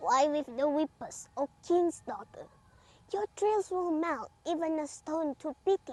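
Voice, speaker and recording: A woman puts on a character voice at an extremely high pitch, speaking at a fairly slow pace. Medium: read story.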